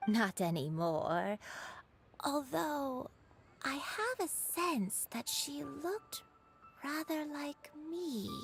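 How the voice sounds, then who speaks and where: Over music in the background, a woman uses a high-pitched put-on character voice with very wide pitch swings. She talks at a very slow pace with long, frequent pauses. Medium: video game. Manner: rambling, hesitant.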